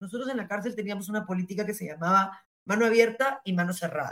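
A woman speaks in an ordinary speaking voice, at a fairly quick pace and a fairly high pitch. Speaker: former justice minister. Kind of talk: interview.

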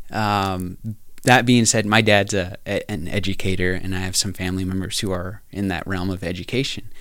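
A plain, everyday voice with an American accent, fairly even intonation and a moderate pace. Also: man. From US Southwest, New Mexico (Navajo Nation). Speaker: teacher. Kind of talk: casual interview. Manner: many fillers and laughs.

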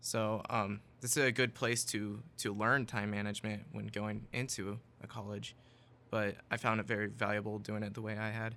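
With an American accent, the speaker has a bright, sharp tone, vocal fry and monotone, flat intonation. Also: man, fairly low pitch for a man, moderate pace. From US South, Tennessee. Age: 20s. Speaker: Bible college student. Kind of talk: interview.

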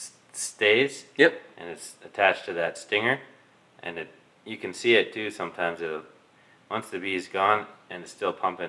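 This man leaves long, frequent pauses. His loudness swings a great deal. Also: moderate pace. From Milton area, Ontario, Canada. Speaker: beekeeper. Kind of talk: casual interview.

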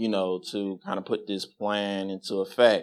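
This man has an American accent and a fairly low pitch. He speaks at a fairly slow pace. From Las Vegas, US Southwest. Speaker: congregation member giving testimony. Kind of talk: testimony. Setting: church. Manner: loud.

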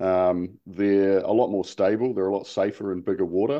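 Speaking with a New Zealand accent, a man keeps a moderate pace at a fairly low pitch with ordinary pitch variation. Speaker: outrigger canoe racer. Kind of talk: interview.

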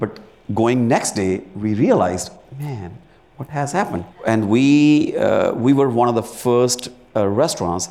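A man's dark, mellow tone sits at a medium pitch with ordinary pitch variation. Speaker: chef and restaurant owner. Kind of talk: live interview. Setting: stage with audience.

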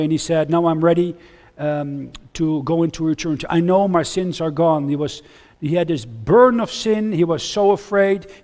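A man with a Dutch accent talks at a high pitch and a moderate pace. His pitch varies in an ordinary way. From Netherlands. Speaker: missionary preacher. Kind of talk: sermon. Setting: church.

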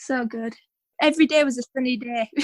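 A woman with a high pitch and ordinary pitch variation talks at a moderate pace, the sound dry and close with no echo. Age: 20s. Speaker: 800 metre runner. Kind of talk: interview. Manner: animated.

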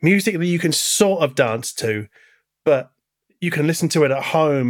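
A man in an ordinary speaking voice, with ordinary pitch variation at a moderate pace. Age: 40s. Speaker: podcast host. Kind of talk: interview.

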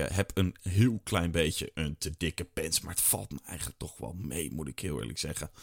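On a very clean recording with a silent background, a man speaks with a very deep, low pitch, vocal fry and lively intonation, the sound dry and close with no echo. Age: 30s. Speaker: podcast host. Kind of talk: casual personal diary podcast.

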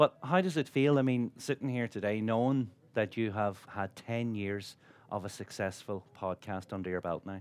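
Fairly low in pitch, a man speaks at a moderate pace in an Irish accent. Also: ordinary pitch variation, quiet background. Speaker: chef and broadcaster. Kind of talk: on-stage interview. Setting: stage with audience.

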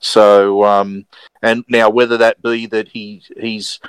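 Dry and close with no echo, a man's fairly low voice has a clear, smooth tone.

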